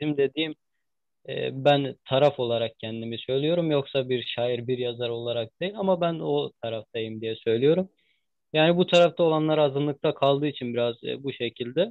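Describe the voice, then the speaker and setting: This man's fairly high voice shows ordinary pitch variation as he talks at a moderate pace. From eastern Turkey (Ağrı). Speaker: interviewer. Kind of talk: interview. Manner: halting with many fillers.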